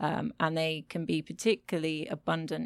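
A woman with a very deep, low pitch and vocal fry speaks with ordinary pitch variation, in dry, close sound with no echo on a very clean recording with a silent background. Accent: British. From Britain. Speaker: micropaleontologist. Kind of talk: interview. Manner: animated.

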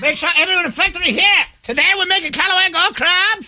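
A put-on character voice shouts at an extremely high pitch and a very fast pace. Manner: yelling.

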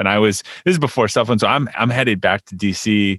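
A man speaks in a normal speaking voice. His pitch is fairly low and his pace fairly quick. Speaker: podcast host. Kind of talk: interview.

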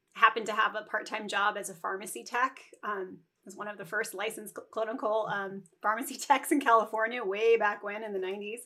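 A woman talks at a fairly quick pace and fairly high pitch. Her loudness rises and falls in big swings. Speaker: neonatal nurse practitioner and entrepreneur. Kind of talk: casual interview chat. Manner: fast; animated.

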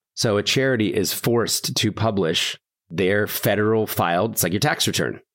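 A man's ordinary speaking voice with an American accent, fairly low in pitch, with ordinary pitch variation. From US Northeast. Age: 40s. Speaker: nonprofit founder. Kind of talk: interview.

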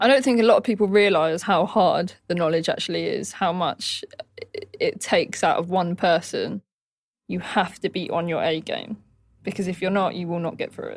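A woman speaks in a London accent. Her pitch sits in the medium range, with ordinary pitch variation. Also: moderate pace. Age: 20s. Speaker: trainee taxi driver. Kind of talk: documentary interview.

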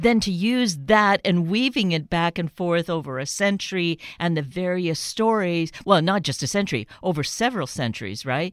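A woman with an ordinary speaking voice talks in a Canadian accent, fairly low in pitch with lively intonation. Her moderate pace has hardly any pauses, and the recording is very clean with a silent background. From Canada. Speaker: radio host. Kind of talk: radio interview.

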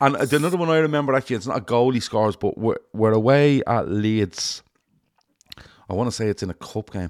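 With a Liverpool accent, a man talks at a fairly quick pace and medium pitch with lively intonation, the sound dry and close with no echo. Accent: Liverpool Scouse. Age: 40s. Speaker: football fan podcast host. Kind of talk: casual chat.

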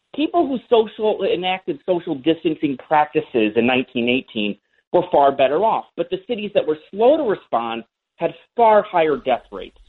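A man talks with very wide pitch swings. His pitch is high. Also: moderate pace. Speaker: history professor. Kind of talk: radio interview.

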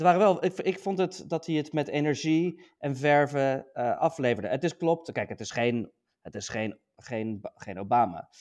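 Lively intonation at a moderate pace with hardly any pauses. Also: man, fairly high pitch for a man. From Netherlands. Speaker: podcast co-host, US politics commentator. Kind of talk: casual political discussion. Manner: halting, many fillers.

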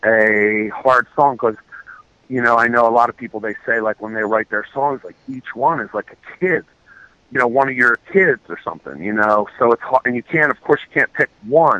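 Here a man with an American accent uses a normal speaking voice at medium pitch, keeping a moderate pace and ordinary pitch variation while his loudness swings widely. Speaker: reggae musician. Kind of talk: casual interview. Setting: Skype call.

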